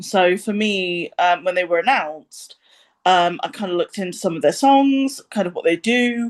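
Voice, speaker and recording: This woman has a British accent. Her intonation is lively and her pace moderate. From England. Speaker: music reviewer. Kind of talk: casual chat. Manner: hesitant, many ums.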